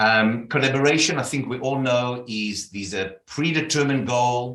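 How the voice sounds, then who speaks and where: There's audible room echo around this man's voice. His pitch is medium, with ordinary variation. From South Africa. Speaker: leadership consultant. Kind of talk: interview.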